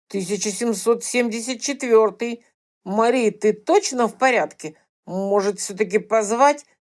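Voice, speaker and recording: A woman performs a put-on character voice at a fairly high pitch and moderate pace. The recording is very clean, with a silent background. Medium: read story. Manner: warm, concerned.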